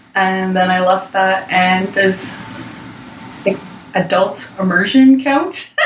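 A woman speaks at a medium pitch and a very slow pace, with long, frequent pauses, very even loudness and fairly even intonation over noticeable background noise. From Six Nations, Ontario, Canada. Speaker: guest. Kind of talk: casual discussion.

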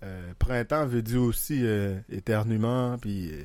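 Over a silent background in a very clean recording, a man speaks at a very slow pace with ordinary pitch variation. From Haiti. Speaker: podcast guest. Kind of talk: casual chat.

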